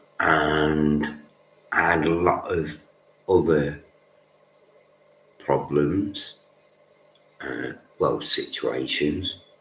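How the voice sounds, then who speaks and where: A man's very deep, low voice at a very slow pace, fairly even in intonation, with long, frequent pauses and music in the background. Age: adult. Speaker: livestreamer. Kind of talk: casual monologue.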